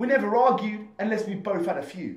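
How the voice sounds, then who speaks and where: A man's high-pitched voice comes through over clearly noticeable background noise. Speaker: spoken word poet. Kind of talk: spoken word performance poetry.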